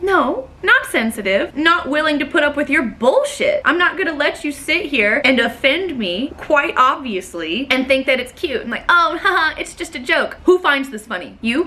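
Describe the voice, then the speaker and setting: With an American accent, a woman speaks in a high-pitched, raised and projected voice with hardly any pauses, over noticeable background noise. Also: moderate pace. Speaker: storyteller vlogger. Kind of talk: casual storytelling. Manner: loud; animated.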